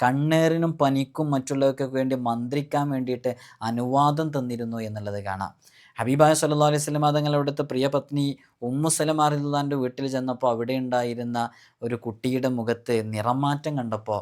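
A man with a plain, everyday voice talks at medium pitch with fairly even intonation on a very clean recording with a silent background. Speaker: Islamic spiritual teacher. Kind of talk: religious instruction talk. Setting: recorded video.

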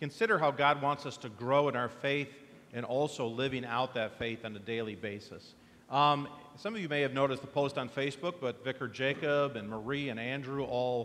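A man at a fairly quick pace, ordinary pitch variation. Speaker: pastor. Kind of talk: church announcements, casual welcome. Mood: warm, relaxed. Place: church.

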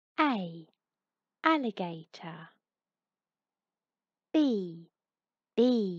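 A woman talks at a medium pitch with very wide pitch swings. The background is quiet. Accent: British. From England. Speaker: narrator. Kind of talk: children's alphabet read-along. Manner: slow, clear; friendly, fun.

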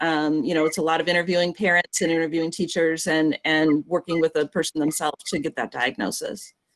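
A woman speaks in an unremarkable speaking voice, fairly low in pitch, with fairly even intonation. The sound is dry with no echo, over a quiet background. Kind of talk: explanatory talk. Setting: video call. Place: home room. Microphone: video call.

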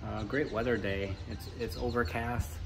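A man with a fairly low voice talks while music plays behind him. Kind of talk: casual vlog chat. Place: bus. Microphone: phone near.

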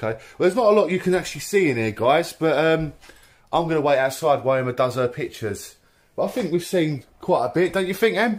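Speaking at a very fast pace, a man delivers his words with lively intonation. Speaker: urban explorer vlogger. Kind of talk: casual vlog chat. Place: home room. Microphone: phone near.

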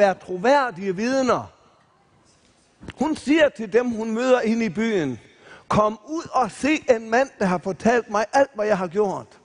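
Over a quiet background, the voice has lively intonation and a very slow pace. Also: man. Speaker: retired missionary preacher. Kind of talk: sermon / Bible preaching at a camp meeting. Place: stage. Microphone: headset.

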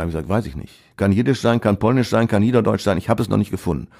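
A man's very fast speech, fairly low in pitch, dark and mellow in tone, with vocal fry, in a very clean recording with a silent background. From Ruhr area, Essen. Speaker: author and retired teacher. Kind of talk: casual interview.

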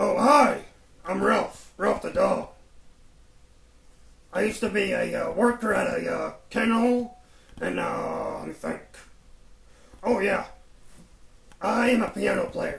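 In a cartoonish character voice, a man speaks at a fairly slow pace with long, frequent pauses. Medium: puppet show. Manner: relaxed, rambling, folksy.

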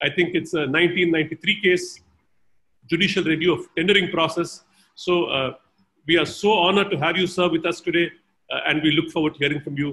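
Fairly quick and fairly even in intonation, a man speaks at a high pitch. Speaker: event host introducing a speaker. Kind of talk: formal introduction. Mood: respectful, honored. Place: home room. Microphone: video call.

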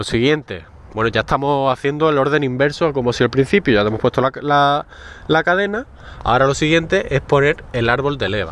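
Pitched fairly high, a man talks at a fairly quick pace with ordinary pitch variation. The sound is dry with no echo. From Spain. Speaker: motorcycle mechanics youtuber. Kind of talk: tutorial. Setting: in a car. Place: street. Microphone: phone near.

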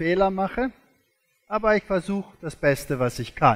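Speaking with a non-native accent, a man with a high pitch makes very wide pitch swings. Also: quiet background. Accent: foreign, non-native German. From South Africa. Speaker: creationist lecturer, former zoology professor. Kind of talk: lecture. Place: stage.

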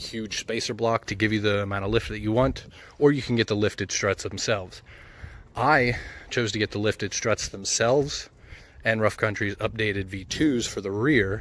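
A man with an unremarkable speaking voice talks at a moderate pace in a fairly low pitch, with fairly even intonation and a dry sound with no echo. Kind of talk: casual vlog chat. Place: street. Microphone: phone near.

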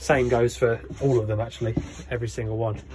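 A man's fairly quick speech is accompanied by music in the background. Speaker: motorhome seller giving handover. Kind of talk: tutorial. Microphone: phone near.

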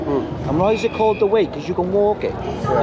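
A man talking at a very fast pace over loud background noise. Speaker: bystander at protest. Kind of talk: street argument. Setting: outdoors. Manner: confrontational. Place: street. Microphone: phone near.

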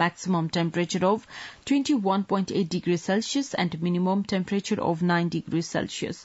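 Against a quiet background, a woman speaks at a moderate pace, somewhat breathy. Her medium pitch shows ordinary variation. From Nepal. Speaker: radio newsreader. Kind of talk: news reading. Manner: formal. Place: studio.

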